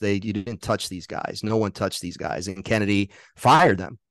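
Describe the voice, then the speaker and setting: A man's unremarkable speaking voice, fairly low in pitch, with fairly even intonation and a dry, close sound with no echo. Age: 50s. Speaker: author and documentary filmmaker. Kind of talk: casual chat.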